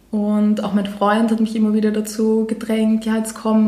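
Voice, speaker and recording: A woman speaks at a moderate pace with a fairly high pitch. Noticeable background noise and audible room echo fill the recording. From Austria, Vienna. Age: 20s. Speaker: food blogger. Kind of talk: casual chat.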